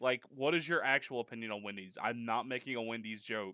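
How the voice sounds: Fairly low-pitched male voice with a Southern US accent, bright and sharp in tone, at a fairly quick pace, in a dry, close sound with no echo. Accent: Southern American.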